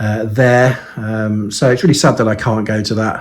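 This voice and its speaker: This man has a fairly low pitch and a Birmingham accent. He speaks at a moderate pace with monotone, flat intonation. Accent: Birmingham English, lasting. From Birmingham, England. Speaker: model aircraft reviewer. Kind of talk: casual video vlog. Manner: hesitant, many fillers.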